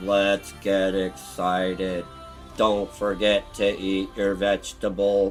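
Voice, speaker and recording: Clear music plays behind a man doing a put-on character voice at a fairly low pitch and a very slow pace. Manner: perky yet flat.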